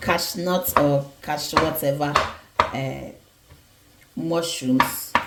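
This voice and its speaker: A woman speaks at a very slow pace with ordinary pitch variation. The recording has noticeable background noise and audible room echo. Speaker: home cooking vlogger. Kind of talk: cooking tutorial.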